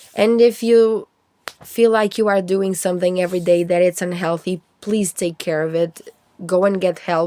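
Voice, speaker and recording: A woman's medium-pitched voice, a plain, everyday voice, with fairly even intonation. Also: moderate pace. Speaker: vlogger. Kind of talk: personal vlog voice-over.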